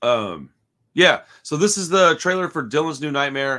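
A man's bright, sharp tone against a quiet background. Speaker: horror news streamer. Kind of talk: casual commentary. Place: home room. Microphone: earbuds.

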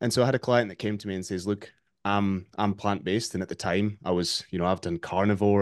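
A man with a plain, everyday voice and a fairly low pitch speaks at a fairly quick pace against a quiet background. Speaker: remote podcast guest, fitness coach. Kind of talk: interview answer. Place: home room. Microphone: video call.

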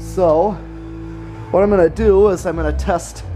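Someone talks at a moderate pace with music in the background. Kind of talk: casual demo commentary. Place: workshop. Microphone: phone near.

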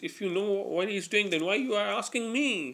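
At a moderate pace, a man speaks. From South Asia. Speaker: amateur comedian. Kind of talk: stand-up monologue to camera. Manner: halting, many fillers and repetitions. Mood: playful, animated storytelling. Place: home room. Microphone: webcam.

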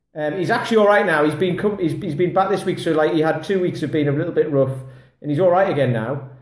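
A man's fairly high voice at a very fast pace, ordinary pitch variation, audible room echo and a quiet background. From England. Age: 40s. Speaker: kettlebell fitness coach. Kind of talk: casual vlog monologue. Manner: rambling, filler-heavy. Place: home room. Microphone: phone near.

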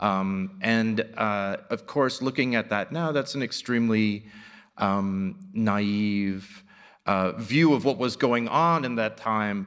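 Over a quiet background, a man speaks very slowly. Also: medium pitch for a man, ordinary pitch variation. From New York City. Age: 50s. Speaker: artist and professor; professor. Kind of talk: public lecture. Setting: stage with audience. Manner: halting, many fillers. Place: hall. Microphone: podium.

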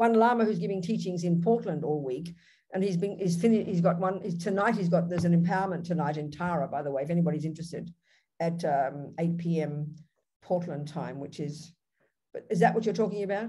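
In an Australian accent, the voice is dark, mellow and somewhat breathy, moving at a very fast pace over light background noise. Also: woman, fairly low pitch for a woman, ordinary pitch variation. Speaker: Buddhist nun and teacher; teacher. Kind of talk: Q&A after a Dharma talk. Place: home room. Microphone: webcam.

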